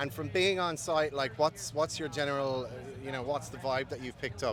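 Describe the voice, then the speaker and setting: This man talks at a fairly quick pace with an Irish accent. His pitch varies in an ordinary way. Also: medium pitch for a man. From Ireland. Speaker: festival interviewer. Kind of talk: casual interview. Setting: backstage at a festival.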